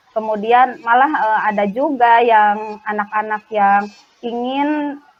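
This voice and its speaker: Very slow speech from a woman with a fairly high pitch and fairly even intonation. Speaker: primary school teacher. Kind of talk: role-play coaching conversation. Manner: hesitant, many fillers.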